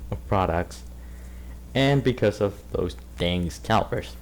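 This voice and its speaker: At a fairly slow pace, a man talks in a very deep, low pitch. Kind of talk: casual commentary video. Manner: stuttering.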